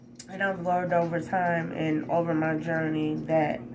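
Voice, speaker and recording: A woman talks at a fairly low pitch with ordinary pitch variation. Noticeable background noise and audible room echo are present. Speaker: spiritual vlogger. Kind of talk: personal vlog testimony. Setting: hotel room. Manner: loud, animated.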